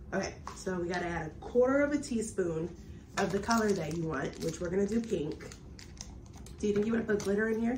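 Lively intonation marks a woman's medium-pitched voice as she talks at a fairly quick pace amid noticeable background noise. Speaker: family YouTuber making crafts with her child. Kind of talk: casual chat. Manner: animated.

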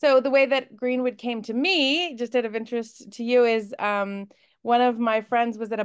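Against a quiet backdrop, a woman talks fairly slowly. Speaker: book club host. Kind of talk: interview host chat. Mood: warm, cheerful, laughing. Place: home room. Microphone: video call.

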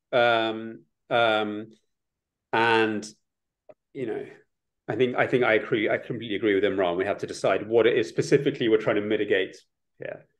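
A man is speaking at a moderate pace. Nothing much can be heard behind him. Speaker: academic researcher and author on propaganda; guest. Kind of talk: panel discussion. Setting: online webinar. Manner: halting, with frequent repetitions. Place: home room. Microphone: webcam.

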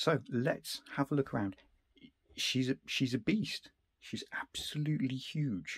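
Against a quiet background, a man talks at a fairly slow pace, somewhat breathy, with lively intonation. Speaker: retro computer collector and repairer. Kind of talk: casual talk to camera. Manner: hesitant, many fillers. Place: home room.

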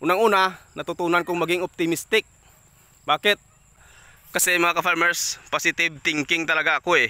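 A man with a high pitch and a bright, sharp tone, flat monotone intonation, very even loudness, a fairly quick pace and long, frequent pauses. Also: dry sound with no echo. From Philippines. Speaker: police officer and farmer vlogger; farmer vlogger. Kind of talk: casual vlog talk to camera. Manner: hesitant, many filler sounds. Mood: reflective, optimistic. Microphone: phone near.

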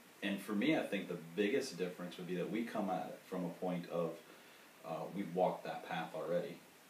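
A man's very deep, low voice with audible room echo and light background noise. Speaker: coach explaining his work. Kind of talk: interview answer. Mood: relaxed, thoughtful. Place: home room. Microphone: camera far.

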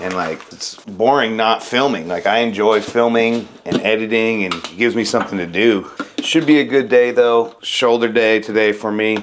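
A man talks at a moderate pace with hardly any pauses. His pitch varies in an ordinary way over light background noise. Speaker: fitness vlogger. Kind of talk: casual vlog chat. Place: kitchen. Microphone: lapel.

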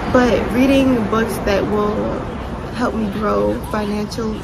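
A woman talks over loud background noise. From New York City. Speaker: entrepreneur and YouTuber. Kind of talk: casual talk to camera. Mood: reflective, sincere. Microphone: phone near.

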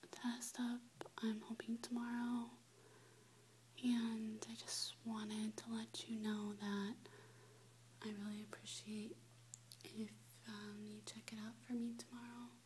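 A soft-spoken woman whispering at a very slow pace, long, frequent pauses, light background noise. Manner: very soft, close whispery speech. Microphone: webcam.

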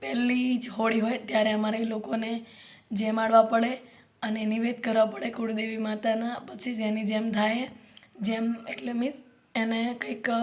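A woman speaks at a fairly high pitch with fairly even intonation. Background noise is noticeable behind her. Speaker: vlogger and mother. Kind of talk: casual vlog talk to camera.

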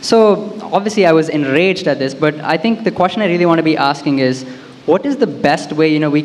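Speaking at a fairly quick pace, a man uses an ordinary speaking voice pitched fairly high. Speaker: audience member, recent graduate. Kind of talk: audience question at live event. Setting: event hall with audience. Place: hall. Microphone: handheld.

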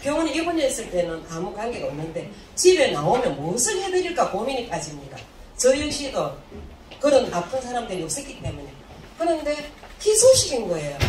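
A woman's high-pitched voice with very wide pitch swings, at a fairly quick pace, with light background noise and audible room echo. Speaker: health supplement distributor. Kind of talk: seminar talk. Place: hall.

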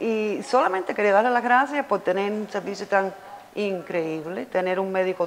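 Over light background noise, a woman speaks fairly slowly at a medium pitch with ordinary pitch variation. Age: 50s. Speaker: cosmetic surgery patient. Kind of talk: testimonial. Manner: animated. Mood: enthusiastic, grateful. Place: office.

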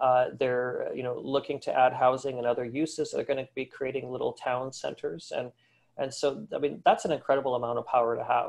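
The background stays quiet. Over it, a man speaks fairly quickly. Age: 40s. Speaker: retail industry analyst. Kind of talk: webinar presentation. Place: home room. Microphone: webcam.

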